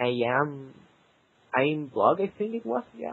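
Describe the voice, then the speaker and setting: A man speaks with a Spanish accent. His intonation is lively. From South America. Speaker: competitive gamer. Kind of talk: interview. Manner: halting.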